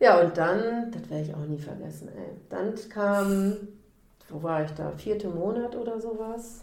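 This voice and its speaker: Audible room echo around a woman talking at a fairly slow pace. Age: 40s. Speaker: endometriosis patient, social worker. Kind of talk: personal testimony in interview.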